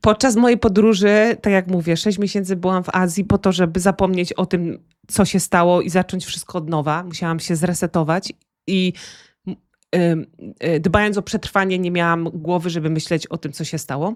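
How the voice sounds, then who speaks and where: The intonation is fairly even, in a very clean recording with a silent background and a dry, close sound with no echo. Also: woman, fairly low pitch for a woman, moderate pace. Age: 40s. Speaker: author. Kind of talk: interview. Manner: halting.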